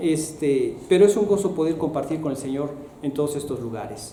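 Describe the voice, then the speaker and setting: A man speaks at a fairly high pitch with ordinary pitch variation. There is audible room echo and noticeable background noise. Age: 60s. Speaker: missionary. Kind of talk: testimony. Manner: halting.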